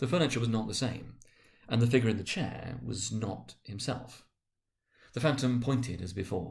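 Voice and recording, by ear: A man speaks at medium pitch and a moderate pace, with vocal fry. His tone is slightly mellow and his pitch varies in an ordinary way.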